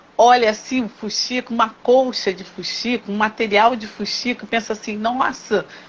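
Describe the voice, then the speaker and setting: Through noticeable background noise, a woman speaks in a fairly high pitch with monotone, flat intonation. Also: moderate pace, big swings in loudness. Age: 60s. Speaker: teacher and craftswoman. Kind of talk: interview conversation.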